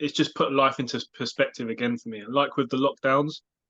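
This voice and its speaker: In a British accent, a man talks at a moderate pace with a medium-pitched, bright, sharp voice and monotone, flat intonation. The sound is dry and close with no echo, over a quiet background. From UK. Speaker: life coach and podcast co-host. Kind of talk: casual chat.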